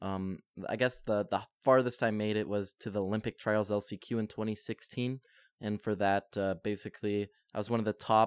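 On a very clean recording with a silent background, a man talks at a fairly quick pace with fairly even intonation in an ordinary speaking voice. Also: dry, close sound with no echo. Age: 20s. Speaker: podcast host and designer. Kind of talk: solo podcast monologue. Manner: casual, with filler words.

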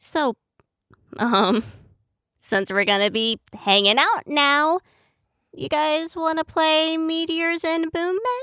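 A raised, projected voice with a bright, sharp tone swings very widely in pitch at a very slow pace. The sound is dry and close with no echo, and long pauses come often. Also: woman, extremely high pitch for a woman. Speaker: tech-savvy crew member and in-story radio DJ character. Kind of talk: upbeat radio DJ patter, in-character pirate-radio style broadcast within the audio drama.

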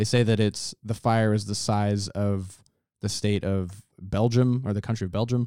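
In a very clean recording with a silent background and a dry, close sound with no echo, a man speaks at a fairly low pitch in a dark, mellow tone with monotone, flat intonation. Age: 20s. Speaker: podcast co-host. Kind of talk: casual chat. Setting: studio.

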